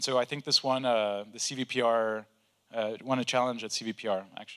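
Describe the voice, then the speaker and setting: Medium in pitch, this is a man speaking. The rise and fall of his pitch is ordinary. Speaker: AI researcher. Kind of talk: conference talk.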